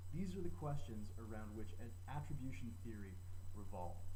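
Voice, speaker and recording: Noticeable background noise sits behind a man's very deep, low voice. He talks at a fairly quick pace with fairly even intonation. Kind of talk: educational presentation to camera.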